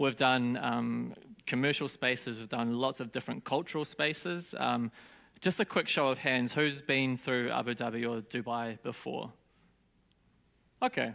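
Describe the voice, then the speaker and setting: In a very clean recording with a silent background, a man speaks with a New Zealand accent. His medium pitch shows ordinary pitch variation at a moderate pace. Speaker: design studio founder. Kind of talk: conference talk. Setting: stage with audience. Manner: casual, hesitant with fillers.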